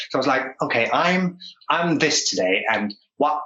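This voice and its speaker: A man speaks with a Danish accent. His pace is fairly slow, with ordinary pitch variation. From Denmark, Odense area. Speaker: actor. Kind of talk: casual chat. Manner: halting.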